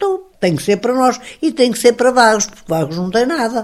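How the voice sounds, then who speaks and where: The speaker is a woman. Her pitch is fairly high. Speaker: former mayor. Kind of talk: interview testimony. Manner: animated.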